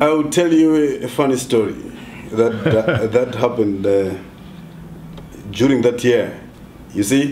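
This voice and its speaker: A man is speaking over light background noise. Audible room echo can be heard. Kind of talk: interview answer. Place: home room. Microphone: camera far.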